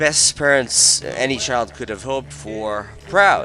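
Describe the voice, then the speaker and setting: A man keeps a moderate pace as background music plays. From Portugal. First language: Portuguese. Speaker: YouTuber, gaming streamer. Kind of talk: personal confessional monologue. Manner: halting, frequent fillers and repeats.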